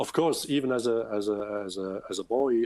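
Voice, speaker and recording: In a very clean recording with a silent background, a speaker with a Swiss German accent talks at a fairly slow pace. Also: man. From Switzerland, Bern. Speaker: children's book author and illustrator. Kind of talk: interview Q&A. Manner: halting, many fillers and repetitions.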